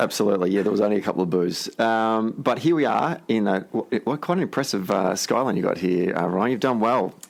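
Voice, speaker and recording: A man with a fairly low pitch talks at a fairly quick pace with hardly any pauses. His intonation is lively and his loudness very even. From Australia. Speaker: podcast host. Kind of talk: podcast interview.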